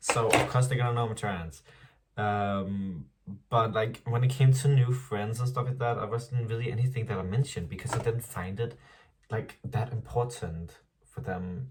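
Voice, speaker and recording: A man speaks at a moderate pace. His voice sounds somewhat breathy. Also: ordinary pitch variation. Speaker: vlogger. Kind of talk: casual vlog monologue. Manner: casual, filler-heavy.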